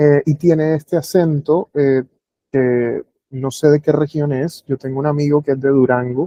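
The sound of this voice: A man speaks at a fairly slow pace in a dark, mellow tone, his pitch fairly high. His intonation stays fairly even in a dry, close recording with no echo.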